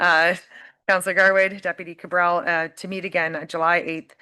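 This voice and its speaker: A woman with a Canadian accent, fairly low in pitch, bright and sharp in tone, at a fairly quick pace against a quiet background. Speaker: mayor chairing council meeting. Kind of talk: formal meeting chairing.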